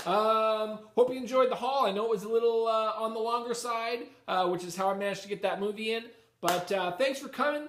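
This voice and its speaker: A man speaks at a high pitch and a fairly quick pace with fairly even intonation. Noticeable background noise can be heard. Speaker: comic book YouTuber. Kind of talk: casual chat. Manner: hesitant with many fillers.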